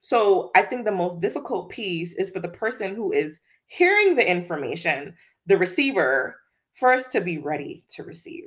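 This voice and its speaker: At a moderate pace, a woman with a slight Virgin Islands accent and medium pitch shows very wide pitch swings and big swings in loudness on a very clean recording with a silent background. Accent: slight Caribbean (Virgin Islands). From US Virgin Islands. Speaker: diversity and inclusion executive. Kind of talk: interview conversation. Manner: laughs often.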